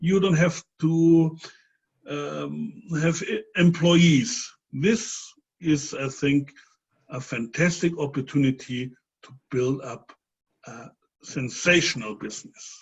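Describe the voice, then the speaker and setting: A man with a non-native accent speaks at a very slow pace in a fairly high, somewhat breathy voice. His intonation is lively, his loudness swings widely, and he leaves long, frequent pauses. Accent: non-native English, audible dialect. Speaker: webinar host, sales presenter. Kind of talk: sales pitch webinar. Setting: online webinar.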